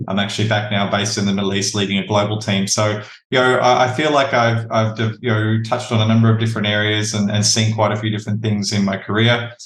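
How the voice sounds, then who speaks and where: Flat and monotone, a man with an Australian accent talks very fast with hardly any pauses. Room echo is audible. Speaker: talent acquisition leader. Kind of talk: podcast interview.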